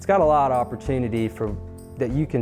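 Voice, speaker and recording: A man talks fairly quickly with ordinary pitch variation while music plays in the background. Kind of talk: promotional property walkthrough, casual talk to camera.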